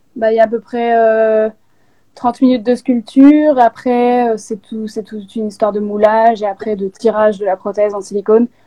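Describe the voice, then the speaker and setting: A woman speaks at a moderate pace in a fairly high pitch with monotone, flat intonation. Her loudness swings widely. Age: 20s. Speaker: makeup content creator. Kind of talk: live interview. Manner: halting.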